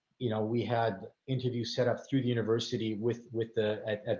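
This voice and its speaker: A man speaks at a very fast pace. His medium-pitched voice stays flat and monotone. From Canada, Vancouver. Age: 50s. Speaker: consulting firm partner. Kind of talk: career talk to students. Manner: halting, many fillers and repetitions.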